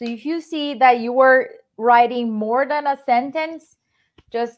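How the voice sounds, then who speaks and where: Fairly slow speech from a woman, fairly high in pitch with ordinary variation. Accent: Brazilian. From Brazil. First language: Portuguese. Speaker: real estate investor. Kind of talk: live stream interview.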